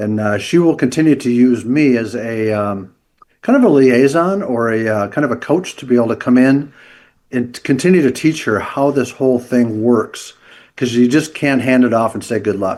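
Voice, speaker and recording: A man with a plain, everyday voice speaks at a moderate pace in a medium pitch, with ordinary pitch variation. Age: 60s. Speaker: leadership coach and entrepreneur. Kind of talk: podcast interview.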